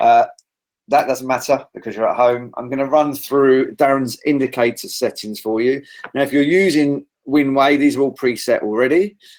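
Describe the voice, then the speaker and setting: A man with a British accent and a fairly high pitch. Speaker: trading trainer. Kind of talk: online trading seminar.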